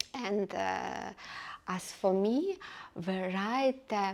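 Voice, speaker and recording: Her accent is non-native. This woman talks at a very slow pace. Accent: noticeable foreign. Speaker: book reviewer. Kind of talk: casual book review. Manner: hesitant, many fillers.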